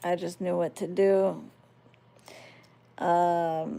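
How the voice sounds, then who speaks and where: Very slowly and with an American accent, a woman speaks in a fairly low, dark, mellow tone with ordinary pitch variation. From United States, Palestinian-American family. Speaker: spiritual worker and livestreamer. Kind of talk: casual livestream chat, reading and answering viewer comments.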